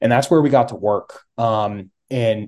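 The speaker is a man with an unremarkable speaking voice. His medium pitch shows ordinary variation. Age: 30s. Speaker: hunter. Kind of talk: casual chat.

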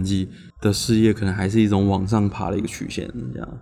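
Very fast speech from a man, fairly low in pitch, with a dark, mellow tone. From Taiwan, Changhua. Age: young. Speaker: podcast co-host. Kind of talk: casual chat.

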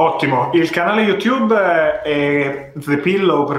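A man talks at a fairly slow pace with ordinary pitch variation. He has a plain, everyday voice. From Italy (Ravenna, Emilia-Romagna). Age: 20s. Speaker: content creator. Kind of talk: casual chat. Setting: live stream.

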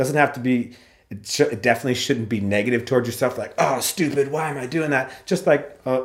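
In a normal speaking voice, a man talks at a fairly quick pace with a medium pitch. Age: 40s. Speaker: podcast host. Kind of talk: casual chat.

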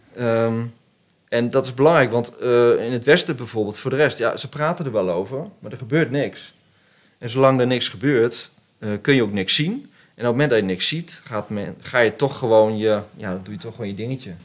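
A man speaks with a medium pitch, ordinary pitch variation, and a moderate pace. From Netherlands, Arnhem region. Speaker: business owner, CEO of plastics recycling company. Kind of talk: casual chat. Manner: hesitant, many filler sounds.

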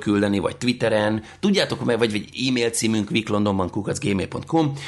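A man talks very fast. His pitch varies in an ordinary way. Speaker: podcast host. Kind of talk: casual chat. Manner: animated.

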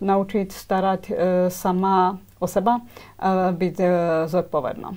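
The woman's pitch is medium. She speaks at a very slow pace. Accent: Slovak. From Slovakia, Svidník (eastern Slovakia). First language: Slovak (speaking Czech). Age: young. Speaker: dental hygienist. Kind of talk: interview. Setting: studio. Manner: halting.

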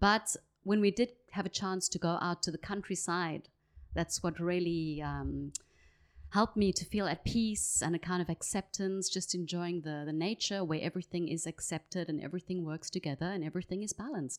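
A woman with a South African accent, fairly low pitched, at a moderate pace with fairly even intonation, on a very clean recording with a silent background and a dry, close sound with no echo. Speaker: sustainability advocate. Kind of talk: casual chat.

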